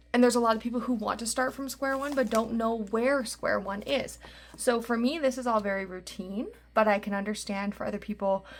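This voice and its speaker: Very clean recording, silent background, with a woman talking at a fairly quick pace and a fairly high pitch. She has an ordinary speaking voice and fairly even intonation. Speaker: budgeting YouTuber and podcaster. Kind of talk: casual vlog tutorial. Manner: chatty, filler-heavy.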